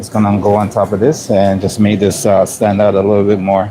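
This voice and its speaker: A man with a Jamaican accent speaks at a fairly low pitch in a monotone, flat intonation. Noticeable background noise runs behind him. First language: Jamaican Patois. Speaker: cook and food vlogger. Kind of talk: casual chat. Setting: work kitchen.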